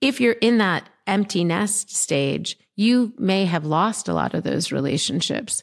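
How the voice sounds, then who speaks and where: A woman's medium-pitched voice with vocal fry and lively intonation, at a fairly slow pace with hardly any pauses, on a very clean recording with a silent background. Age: 50s. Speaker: entrepreneur and podcast host. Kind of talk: interview chat.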